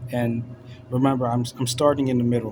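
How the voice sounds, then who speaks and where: Speaking fairly quickly at a medium pitch, a man keeps a monotone, flat intonation over noticeable background noise. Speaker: religious commentator. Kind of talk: casual monologue. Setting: bedroom at night. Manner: casual, filler-heavy.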